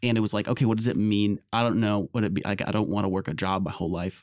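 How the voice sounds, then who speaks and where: The recording is very clean, with a silent background and a dry, close sound free of echo. A man speaks at a fairly low pitch. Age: 20s. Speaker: podcast co-host. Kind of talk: casual chat.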